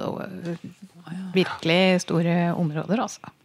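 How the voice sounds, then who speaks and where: Through noticeable background noise, a woman speaks at a moderate pace in a fairly low pitch with monotone, flat intonation. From Norway, Toten. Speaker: podcast host, journalist. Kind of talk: casual chat.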